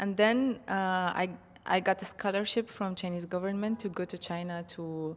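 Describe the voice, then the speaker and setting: Speaking with an Arabic accent, a woman holds a medium pitch. She keeps a moderate pace and fairly even intonation. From Egypt. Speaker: marketing professional and polyglot. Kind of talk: interview. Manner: hesitant, many fillers.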